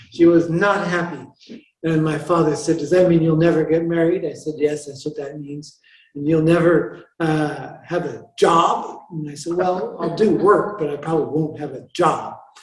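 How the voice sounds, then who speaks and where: With a North American accent, a man speaks at a moderate pace with fairly high pitch, fairly even intonation and big swings in loudness, with audible room echo. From US Pacific Northwest, rural Washington State. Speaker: Franciscan friar and author. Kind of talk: interview conversation. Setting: chapel with audience.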